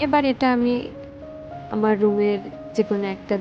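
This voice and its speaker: A soft-spoken woman talks in a calm tone at medium pitch with fairly even intonation. Music plays in the background. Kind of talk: casual talk to camera. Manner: soft-spoken, calm.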